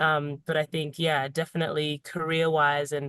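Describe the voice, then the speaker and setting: A woman speaks with a very deep, low pitch. The sound is dry and close with no echo. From Zimbabwe. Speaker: singer-songwriter. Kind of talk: podcast interview answer.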